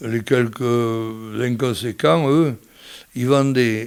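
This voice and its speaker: This voice belongs to a man. It has a medium pitch. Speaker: seed merchant. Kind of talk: interview answer. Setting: radio interview.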